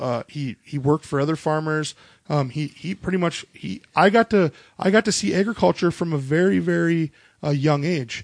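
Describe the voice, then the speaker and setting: The sound is dry and close, with no echo. A man with a fairly high voice talks at a moderate pace. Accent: Upper Midwest. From North Dakota, Minot area. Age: 30s. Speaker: podcast host. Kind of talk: casual chat. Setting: home recording while drinking beer.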